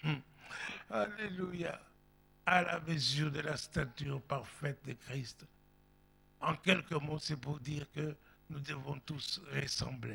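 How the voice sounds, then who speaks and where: Speaking at a very slow pace with long, frequent pauses, a man with a fairly high pitch and a bright, sharp tone uses ordinary pitch variation. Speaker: pastor. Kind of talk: sermon. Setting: church. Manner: animated.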